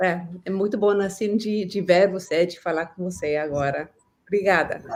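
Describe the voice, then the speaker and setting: At a moderate pace, a woman speaks with fairly even intonation and a medium pitch. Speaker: stained glass artist. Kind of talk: interview. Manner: halting.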